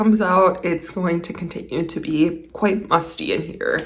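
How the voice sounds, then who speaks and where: Noticeable background noise and audible room echo around a woman at a moderate pace, with ordinary pitch variation. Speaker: DIY home renovation vlogger. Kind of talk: casual vlog narration. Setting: indoors at home.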